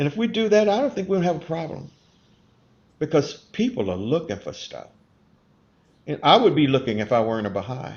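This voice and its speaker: Through long, frequent pauses, a man with a fairly high voice and vocal fry swings his pitch very widely. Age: 70s. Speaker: Baha'i community member reflecting on faith and race. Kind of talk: interview conversation. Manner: earnest, with repeated words and false starts.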